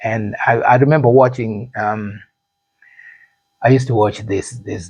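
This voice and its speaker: At a fairly slow pace, a man talks in a medium pitch with fairly even intonation and a somewhat breathy sound. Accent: Zimbabwean. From Zimbabwe. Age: 50s. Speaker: actor and musician. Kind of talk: interview. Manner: halting, repeats words.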